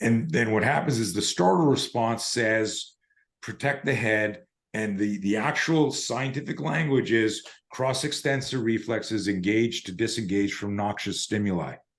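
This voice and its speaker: Speaking in a normal speaking voice, a man keeps a moderate pace and medium pitch, his pitch varying in an ordinary way. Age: 60s. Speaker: self-defense instructor. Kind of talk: interview conversation.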